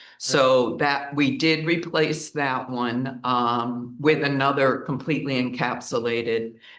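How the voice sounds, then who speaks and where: At a fairly slow pace with hardly any pauses, a man speaks in an ordinary speaking voice at a medium pitch with fairly even intonation. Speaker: meeting chair, village mayor. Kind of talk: public meeting. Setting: council meeting room with mics.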